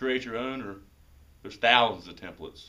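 Ordinary pitch variation in a male speaker's voice. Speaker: golf shop staff presenter. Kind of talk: mock infomercial pitch. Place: shop.

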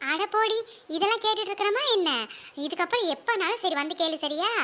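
In a squeaky, cartoonish character voice, a woman speaks at an extremely high pitch with lively intonation, a moderate pace and very even loudness.

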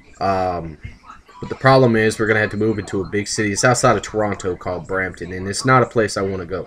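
A man speaks at a fairly quick pace with a fairly low pitch. His tone is fairly bright, with ordinary pitch variation.

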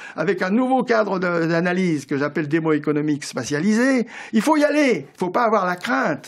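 Against a quiet background, a man's voice shows very wide pitch swings. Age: 70s. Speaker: economist; guest. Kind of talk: radio interview. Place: studio. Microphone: studio mic.

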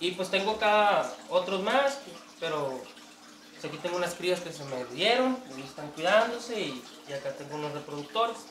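With light background noise and audible room echo, a man speaks at a moderate pace in a high pitch. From northern Mexico (Tijuana, Baja California; born in Sonora). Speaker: aquarium hobbyist and cook. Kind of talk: casual interview. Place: home room. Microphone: camera far.

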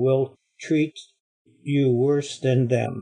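A very slow, somewhat breathy man's voice, dark and mellow in tone, with fairly even intonation over a quiet background. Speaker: Bible study participant. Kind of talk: reading scripture aloud. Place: classroom. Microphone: webcam.

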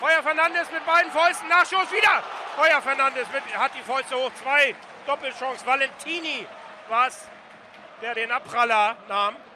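A man's extremely high, raised and projected voice at a moderate pace, lively in intonation, with long, frequent pauses and noticeable background noise. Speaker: radio reporter. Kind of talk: live sports commentary. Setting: stadium.

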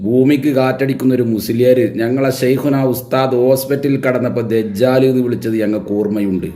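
With audible room echo, a man at medium pitch speaks in a dark, mellow tone and fairly even intonation. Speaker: religious commentator. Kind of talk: polemical video monologue.

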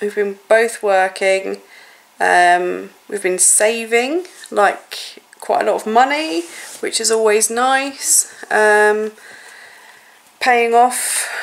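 Her pitch varies in an ordinary way as a woman speaks at a very slow pace. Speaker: family vlogger. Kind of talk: casual vlog chat. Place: home room.

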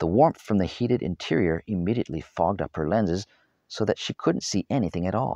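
Quiet surroundings and an unforced reading voice

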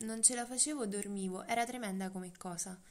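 A woman's fairly high voice with ordinary pitch variation, a fairly quick pace, and audible room echo. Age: 20s. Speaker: eating disorder survivor. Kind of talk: interview testimony.

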